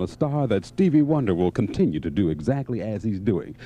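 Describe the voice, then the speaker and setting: With faint music in the background, a man's voice makes very wide pitch swings in a dry sound with no echo. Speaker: radio DJ. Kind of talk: radio DJ air check. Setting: radio studio. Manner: upbeat. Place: studio. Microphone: studio mic.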